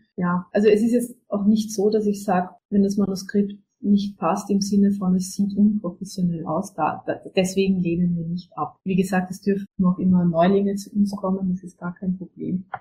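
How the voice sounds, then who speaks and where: Somewhat breathy and dark, mellow in tone, a woman speaks at a medium pitch and moderate pace with monotone, flat intonation. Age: 20s. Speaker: book publisher and author. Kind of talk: interview. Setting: remote call from home. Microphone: poor audio quality, recording problems.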